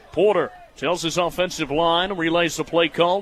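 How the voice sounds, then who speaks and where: A man with an American accent speaks at a high pitch over noticeable background noise. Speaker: college radio sports play-by-play broadcaster. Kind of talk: football radio play-by-play.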